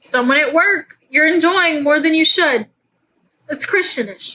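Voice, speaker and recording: A woman with a high, bright, sharp voice speaks fairly slowly in an animated tone. Her voice is raised and projected. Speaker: faith podcast host. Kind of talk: casual faith talk. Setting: at home in bed. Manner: loud.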